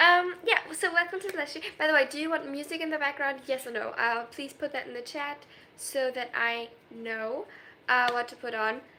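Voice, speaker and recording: With a slight German accent, a woman talks at a moderate pace in a bright, sharp tone. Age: 20s. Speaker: streamer. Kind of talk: live stream chat reading comments. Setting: live stream. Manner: animated.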